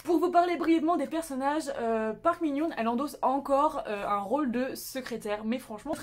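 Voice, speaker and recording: Noticeable noise can be heard in the background. The delivery races along very fast. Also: woman. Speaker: YouTuber reviewing Korean dramas. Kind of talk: casual video review. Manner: animated.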